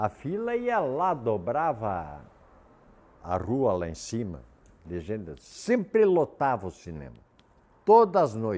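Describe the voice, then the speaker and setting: Speaking very slowly in a dark, mellow tone with a Rio Grande do Sul accent, the voice swings very widely in pitch. Long pauses come often. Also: man, medium pitch for a man. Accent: southern Brazilian gaúcho Portuguese. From southern Brazil, Erechim, Rio Grande do Sul. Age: 70s. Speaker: local elder sharing memories. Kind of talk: reminiscing interview.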